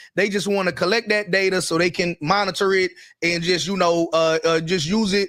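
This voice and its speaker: A man with a high pitch and fairly even intonation, in a Carolinas accent. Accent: Southern US, Carolinas. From US South, the Carolinas. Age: 30s. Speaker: entrepreneur and online business show co-host. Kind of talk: casual live-stream discussion.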